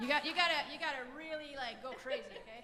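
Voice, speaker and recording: A woman with a Quebec accent speaks at a very fast pace in a raised, projected voice with ordinary pitch variation. Audible room echo and noticeable background noise are present. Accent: French Canadian accent in English. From French Canada. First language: French. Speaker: folk singer-songwriter. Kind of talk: between-song stage banter. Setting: concert stage with audience. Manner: casual, hesitant with fillers.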